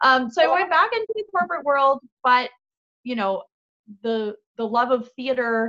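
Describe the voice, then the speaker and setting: This woman has a bright, sharp tone and speaks with an Ontario accent. Her intonation is lively. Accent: Canadian (Ontario). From Canada, Niagara region (Fort Erie, Ontario). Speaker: actress and singer-songwriter. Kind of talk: casual chat.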